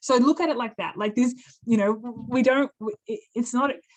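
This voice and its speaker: Fairly high-pitched woman's voice in an Australian accent, moderate pace, ordinary pitch variation. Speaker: occupational therapist and birding accessibility advocate. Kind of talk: webinar talk and Q&A.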